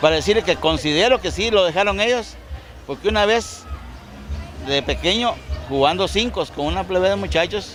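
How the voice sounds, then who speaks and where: A man speaks in a Guatemalan accent. Music is heard in the background. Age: 60s. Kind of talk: oral history interview.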